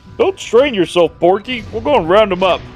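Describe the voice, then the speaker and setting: Clear music plays in the background as a man speaks at a moderate pace. He uses a put-on character voice pitched high. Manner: sarcastic, cartoonish.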